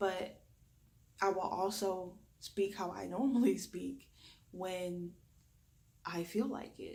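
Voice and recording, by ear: Slow and full of long, frequent pauses, a raspy woman's voice in a Southern US accent carries a dark, mellow tone at a fairly low pitch with ordinary pitch variation, and audible room echo surrounds it. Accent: Southern US drawl.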